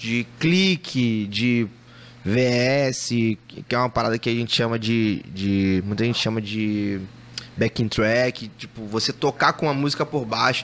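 A man at a very slow pace, medium pitch and ordinary pitch variation. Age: 30s. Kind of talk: casual chat. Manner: animated.

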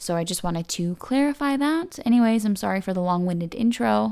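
A woman talks at a fairly quick pace in a fairly low pitch. Hers is a normal speaking voice. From Canada. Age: 20s. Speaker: podcast host. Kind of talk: casual chat.

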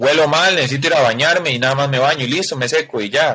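A man speaks with a Costa Rican accent at a moderate pace. His tone is bright and sharp. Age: 20s. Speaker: wheelchair user, former youth footballer. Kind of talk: testimony.

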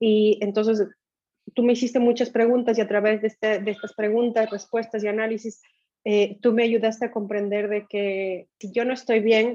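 A woman speaks with monotone, flat intonation at a fairly high pitch. Her tone is dark and mellow. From Ecuador. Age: 40s. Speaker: finance director and former coaching client. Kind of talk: casual interview testimony. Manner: halting.

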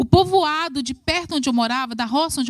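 A high-pitched female voice with lively intonation. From rural Brazil. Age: 40s. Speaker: preacher. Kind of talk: sermon.

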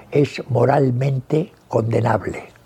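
A man speaks at a medium pitch with fairly even intonation over noticeable background noise. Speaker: veteran journalist. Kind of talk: interview reminiscence. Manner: halting, with frequent repetitions.

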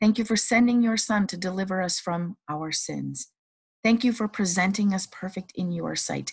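A somewhat breathy woman's voice at a medium pitch. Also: quiet background. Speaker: prayer podcast host. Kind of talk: fervent devotional prayer, spoken aloud. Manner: earnest, reverent, fervent; rhythmic, repetitive petitions.

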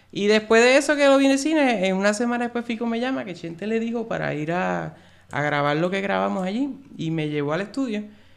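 With very wide pitch swings, a man talks at a fairly quick pace in a high pitch. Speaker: YouTube film reviewer. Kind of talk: casual interview.

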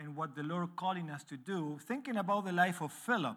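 In a very clean recording with a silent background, a man speaks with an Argentine accent at a high pitch. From Argentina. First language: Spanish. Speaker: missionary church planter preaching as visiting speaker. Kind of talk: sermon. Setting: church. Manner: halting, non-native phrasing.

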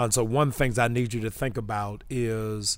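A man with an American accent, an unremarkable speaking voice and medium pitch, on a very clean recording with a silent background. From Massachusetts and Baltimore. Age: 50s. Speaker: pastor. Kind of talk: podcast interview. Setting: studio.

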